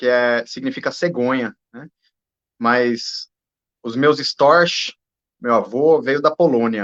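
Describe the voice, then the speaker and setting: In a dry, close sound with no echo, a man speaks very slowly at a fairly high pitch. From Brazil. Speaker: judge. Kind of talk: conversational interview. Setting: video call.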